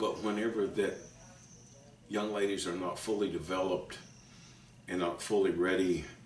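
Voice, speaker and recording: A man speaks with audible room echo. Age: 60s. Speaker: author and preacher. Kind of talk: teaching talk to camera. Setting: at home kitchen table. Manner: halting, stumbling over words.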